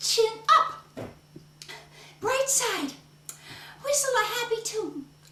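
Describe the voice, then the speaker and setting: In a put-on character voice, a woman speaks at an extremely high pitch and a fairly slow pace. Long, frequent pauses break up her speech, and there is slight echo. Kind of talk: solo theatre performance. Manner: upbeat, energetic.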